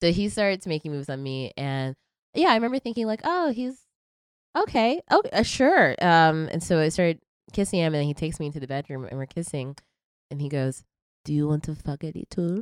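The voice has an American accent, an animated tone and lively intonation. The recording is very clean, with a silent background and a dry, close sound with no echo. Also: woman, fairly quick pace. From Tennessee, US South. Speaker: French horn player and comedian. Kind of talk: casual chat. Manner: animated, laughs often.

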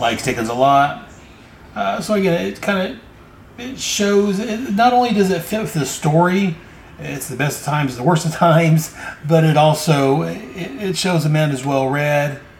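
Lively intonation comes at a moderate pace. Room echo is audible and background noise is noticeable. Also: man, fairly high pitch for a man. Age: 40s. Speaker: comic book podcast host. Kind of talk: solo podcast recap of comics. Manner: halting with frequent fillers.

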